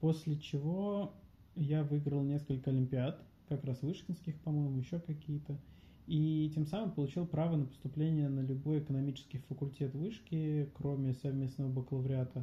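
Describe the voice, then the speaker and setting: A man's somewhat breathy, dark, mellow voice at a fairly high pitch, with fairly even intonation, very even loudness and a moderate pace. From Russia, Voronezh. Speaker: university lecturer and business coach. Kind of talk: interview.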